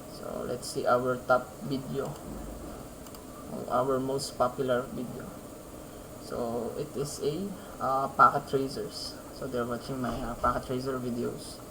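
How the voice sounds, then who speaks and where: With long, frequent pauses, a man talks at a fairly slow pace and medium pitch, his intonation fairly even, amid audible room echo and noticeable background noise. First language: Filipino. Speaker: programming YouTuber. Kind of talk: coding tutorial. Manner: halting, many fillers.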